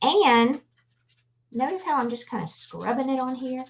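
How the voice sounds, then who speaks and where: A woman with a Louisiana accent at a fairly slow pace. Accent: Southern US (Louisiana). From Louisiana, New Orleans. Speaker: artist and painting instructor. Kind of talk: live painting tutorial. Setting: livestream. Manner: casual, chatty.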